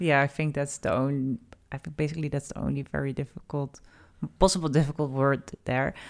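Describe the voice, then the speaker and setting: Speaking fairly quickly in a Dutch accent, a woman keeps a monotone, flat intonation. Her pitch is very deep and low. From Netherlands. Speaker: podcast co-host. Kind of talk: casual chat.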